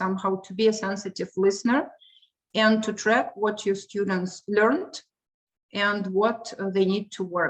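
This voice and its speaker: The speaker is a woman with a medium-pitched voice. Her intonation stays fairly even. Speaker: English teacher. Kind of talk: lecture. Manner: halting.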